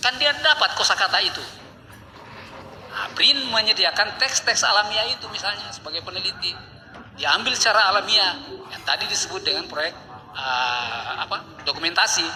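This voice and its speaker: A man speaks at a moderate pace with very wide pitch swings over noticeable background noise. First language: a regional language of North Maluku (speaking Indonesian). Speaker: linguistics professor. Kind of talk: academic talk. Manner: halting, with fillers.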